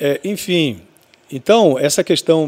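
A man's unremarkable speaking voice, fairly slow, with ordinary pitch variation. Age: 50s. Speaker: radio broadcaster and station owner. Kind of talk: casual interview chat.

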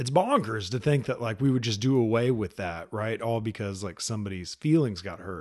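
The man speaks in an American accent at a medium pitch, and the background is quiet. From Texas, Dallas. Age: 30s. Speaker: podcast host, army veteran. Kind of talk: casual monologue. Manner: halting, many fillers.

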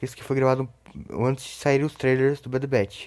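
The speaker is a man with a medium pitch. He moves at a fairly quick pace. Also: very clean recording, silent background. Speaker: YouTuber podcast host. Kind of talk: recorded announcement; casual chat.

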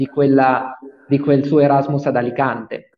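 A man at a fairly high pitch and a moderate pace. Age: 20s. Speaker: student association president. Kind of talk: interview. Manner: halting.

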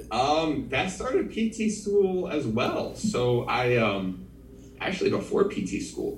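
A man speaks with an American accent at a very slow pace. The room echo is audible. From New Jersey. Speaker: physical therapist. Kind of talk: casual chat.

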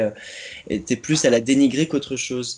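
A man talks at a fairly high pitch and a moderate pace in an ordinary speaking voice with ordinary pitch variation. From Champagne, France. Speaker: theatre company member, stage manager. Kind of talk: casual chat. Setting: Skype call. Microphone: poor Skype recording audio.

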